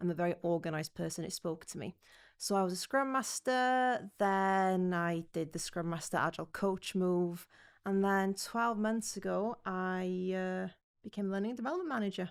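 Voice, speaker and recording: In a North Welsh accent, a woman speaks at medium pitch and a moderate pace. The recording is very clean, with a silent background. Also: ordinary pitch variation. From North Wales. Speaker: learning and development manager, former scrum master. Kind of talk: podcast interview.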